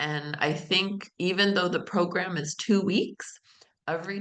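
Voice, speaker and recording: With an American accent, a woman speaks at a moderate pace. Her tone is bright and sharp. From United States. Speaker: study abroad center staff. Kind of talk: online info session presentation. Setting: video call.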